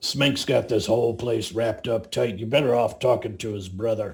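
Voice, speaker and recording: Using a put-on character voice, a man sounds raspy at medium pitch, with fairly even intonation and a moderate pace. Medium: actual play. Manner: blunt, casual.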